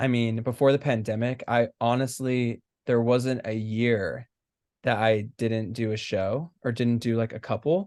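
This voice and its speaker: An American-accented man at medium pitch, with fairly even intonation and a fairly slow pace. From US, Southern California. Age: 20s. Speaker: stage actor. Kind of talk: casual chat. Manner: halting, many fillers.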